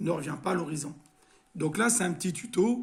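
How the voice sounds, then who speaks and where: Pitched high for a man, this male voice shows ordinary pitch variation. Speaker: RC hobbyist. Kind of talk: tutorial. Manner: halting, many filler sounds.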